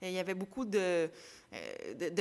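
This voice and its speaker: Medium pitch and fairly even intonation from a woman, at a moderate pace. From Quebec. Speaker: sports broadcaster and podcaster. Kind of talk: casual interview.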